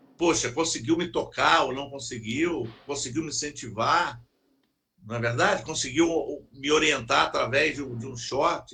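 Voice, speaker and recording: Bright and sharp in tone, a man's fairly high voice moves at a moderate pace with ordinary pitch variation and big swings in loudness. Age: 60s. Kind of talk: casual chat.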